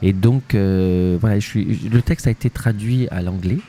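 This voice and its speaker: Over music in the background, a man with a Spanish accent speaks at a fairly slow pace and fairly low pitch. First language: Spanish (speaking French). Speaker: actor and playwright. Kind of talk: interview. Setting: festival interview. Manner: hesitant, many fillers and repetitions.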